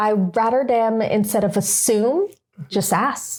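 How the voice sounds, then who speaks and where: A woman's voice with fairly even intonation. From Guyana. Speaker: podcast co-host. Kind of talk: casual chat.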